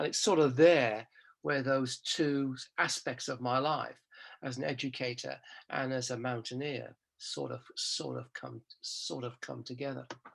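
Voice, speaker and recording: A man with an English accent, at a fairly slow pace. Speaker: professor. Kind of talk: interview. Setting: podcast recording. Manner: halting.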